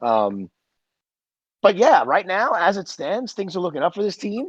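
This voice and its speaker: Loud and high-pitched, a man's voice swings very widely in pitch, the sound dry and close with no echo. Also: moderate pace. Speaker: podcast host. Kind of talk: casual chat.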